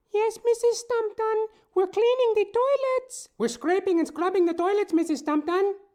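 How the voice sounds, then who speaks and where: Squeaky and extremely high, this voice is a put-on character. The pace is moderate. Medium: audio drama. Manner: meek and deferential.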